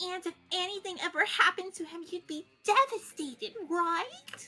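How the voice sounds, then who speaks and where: In a put-on character voice, a woman speaks at an extremely high pitch and moderate pace with lively intonation and big swings in loudness. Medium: actual play. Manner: gushing, eager.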